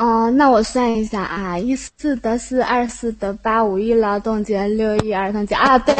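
Against noticeable background noise, a woman talks at a moderate pace with hardly any pauses, her fairly high pitch held in fairly even intonation. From Hefei, Anhui, China. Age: 20s. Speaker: caller. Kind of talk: casual chat. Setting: online voice chat room. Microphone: phone held too close to microphone.

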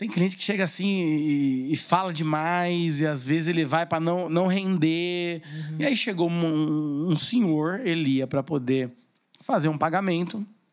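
Against a quiet background, a man speaks at a moderate pace in a high pitch. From Brazil, Suzano (São Paulo state). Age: 30s. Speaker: TV presenter and marketing businessman. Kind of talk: casual chat.

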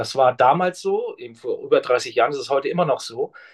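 With little sound around him, a man rushes through his words at a very fast clip. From northern Germany. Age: 50s. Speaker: pension insurance specialist. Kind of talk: interview conversation.

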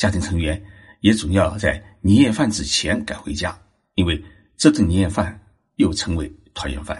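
Against a quiet background, a man with a very deep, low pitch talks at a moderate pace in a somewhat breathy voice. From China, Zhejiang. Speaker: podcast host on Japanese culture. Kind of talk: solo narrated talk.

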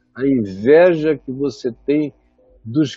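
Very slow speech with music in the background. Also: man. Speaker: preacher. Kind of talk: sermon. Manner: soft-spoken; low energy.

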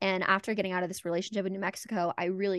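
A woman speaks at a medium pitch. The sound is dry and close with no echo, and the background is quiet. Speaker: podcast co-host. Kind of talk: casual chat. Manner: animated.

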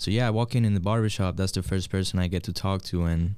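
Very deep and low, a man's voice carries a dark, mellow tone and fairly even intonation, with a Spanish accent. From Puerto Rico. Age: 20s. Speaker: barber and soccer coach. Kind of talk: casual interview.

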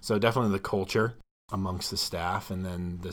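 With an Ohio accent, a man speaks at a moderate pace in a very deep, low pitch and monotone, flat intonation. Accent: Midwestern American (Ohio). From northeast Ohio, Cleveland suburbs. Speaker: high school science teacher. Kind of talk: casual interview.

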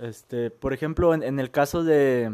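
With ordinary pitch variation, a man speaks fairly slowly at a fairly high pitch. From Michoacán, Mexico. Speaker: podcast guest. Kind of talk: casual chat.

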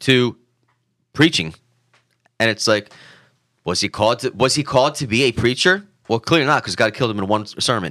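Fairly quick but broken by long, frequent pauses, a man's speech has a bright, sharp tone, lively intonation, and a medium pitch. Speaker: podcast co-host. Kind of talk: casual chat. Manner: halting.

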